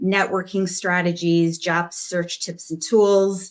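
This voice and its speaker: Over a quiet background, a Chicago accent comes through at a fairly slow pace with fairly even intonation. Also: woman. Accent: Chicago American. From US Midwest, Chicago. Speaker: talent acquisition consultant and job search coach. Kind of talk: panel discussion.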